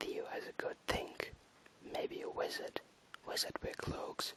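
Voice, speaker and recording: A man whispers with a German accent at a very slow pace. Noticeable background noise can be heard. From Germany. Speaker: ASMR creator. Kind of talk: reading aloud; casual chat. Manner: whispering; halting.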